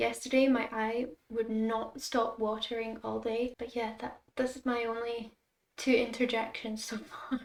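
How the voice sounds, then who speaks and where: A fairly high-pitched woman's voice in a Scottish accent, monotone and flat, at a fairly slow pace. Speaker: content creator. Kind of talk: casual chat.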